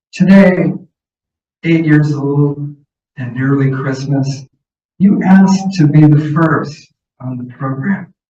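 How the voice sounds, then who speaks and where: A man speaks at a very slow pace with long, frequent pauses and big swings in loudness. His fairly high, somewhat breathy voice has a dark, mellow tone and ordinary pitch variation. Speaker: poet. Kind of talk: poetry reading. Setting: stage with audience.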